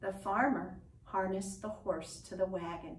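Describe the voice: This is plain reading aloud. The intonation stays fairly even.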